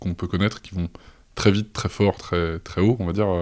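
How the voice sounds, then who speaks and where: Over a silent background in a very clean recording, a man with a dark, mellow tone and a fairly low pitch talks at a fairly quick pace. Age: 30s. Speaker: data science engineer. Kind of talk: interview. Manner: halting.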